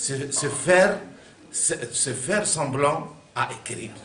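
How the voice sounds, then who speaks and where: A man with an Arabic accent, fairly high-pitched, with audible room echo and noticeable background noise. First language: Arabic (speaking French). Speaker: artist. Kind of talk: interview. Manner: halting.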